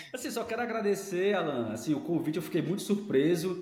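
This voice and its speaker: A man with a high pitch talks at a fairly quick pace over noticeable background noise. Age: 40s. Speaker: academic director. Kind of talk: casual interview.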